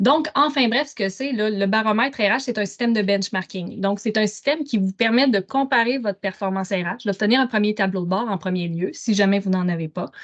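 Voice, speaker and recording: Fairly quick and with hardly any pauses, a woman speaks at a fairly high pitch with ordinary pitch variation. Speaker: HR analytics consultant. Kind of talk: webinar presentation. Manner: fast.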